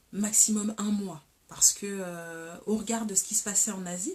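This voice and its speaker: Here a woman speaks at a moderate pace. Her medium-pitched voice is somewhat breathy. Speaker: talk show host. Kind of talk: casual live talk show.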